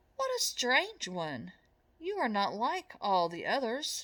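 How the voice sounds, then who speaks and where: Using a put-on character voice, a woman speaks fairly slowly at a high pitch in a warm, gentle tone. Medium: read story.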